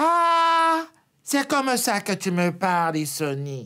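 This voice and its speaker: This put-on character voice has a fairly high pitch with very wide swings. The pace is fairly slow. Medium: read story.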